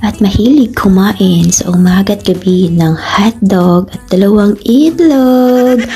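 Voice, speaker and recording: A woman speaks at a fairly slow pace in a medium pitch, with ordinary pitch variation. Noticeable background noise is present. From Western Visayas, Philippines. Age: 30s. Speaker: gaming group co-captain. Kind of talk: self-introduction.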